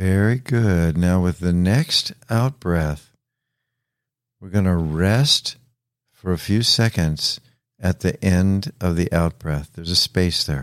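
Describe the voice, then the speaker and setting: A man talks at a very slow pace with a very deep, low pitch and a gentle, calm tone. The recording is very clean, with a silent background and a dry, close sound with no echo. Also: ordinary pitch variation. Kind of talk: guided meditation. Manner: slow, calm, soothing, with long pauses between instructions; gentle, instructive, with hesitant fillers.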